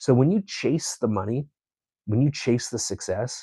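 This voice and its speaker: Somewhat breathy, this man's voice carries through. It sits in the middle of his range. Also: dry, close sound with no echo. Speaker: painter. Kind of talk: casual vlog talk. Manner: stutters at times; conversational.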